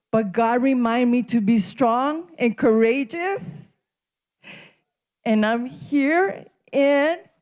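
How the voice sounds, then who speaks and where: In a Spanish accent, a woman speaks at a very slow pace with a high pitch and lively intonation. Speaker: graduate. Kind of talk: graduation speech.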